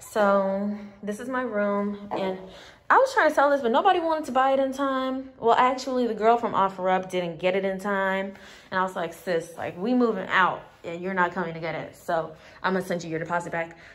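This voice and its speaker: A woman speaks at a fairly quick pace. Her intonation is lively. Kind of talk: casual vlog chat. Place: home room. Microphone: phone near.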